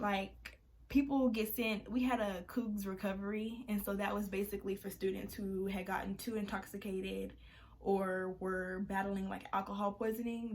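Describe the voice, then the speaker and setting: Her medium-pitched voice holds a monotone, flat intonation as the woman speaks at a moderate pace. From Texas. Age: young. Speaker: college student. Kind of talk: casual advice talk to camera. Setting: room by a window with traffic noise.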